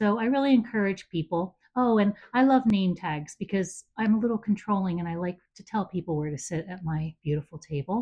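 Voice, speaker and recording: A woman with an American accent speaks somewhat breathily at a fairly quick pace, with hardly any pauses and big swings in loudness. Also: medium pitch for a woman, lively intonation. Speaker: home entertaining enthusiast. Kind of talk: casual chat.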